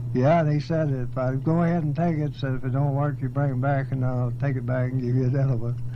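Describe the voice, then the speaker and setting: With a West Texas accent, a man speaks at a very fast pace and a medium pitch, his intonation monotone and flat and his loudness very even, over noticeable background noise. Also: hardly any pauses. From Texas Panhandle. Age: 80s+. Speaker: farmer and rancher. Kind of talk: oral history interview answer.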